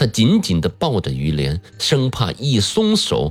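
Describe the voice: Simply plain reading aloud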